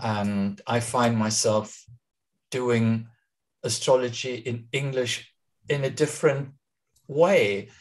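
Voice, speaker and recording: A man with a German accent speaks at a very slow pace, leaving long, frequent pauses. His pitch is medium, and the background is quiet. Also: ordinary pitch variation. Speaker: astrologer and translator. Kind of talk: interview on a live video talk.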